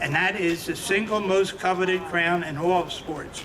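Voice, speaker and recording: Someone with an American accent talks at a fairly slow pace with fairly even intonation, amid noticeable background noise and audible room echo. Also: man. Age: 70s. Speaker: boxing promoter and friend of the honoree. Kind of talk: ceremonial speech.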